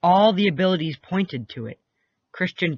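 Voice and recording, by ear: The background stays quiet while a passage is read aloud in a natural voice. Its pitch shifts in an ordinary way.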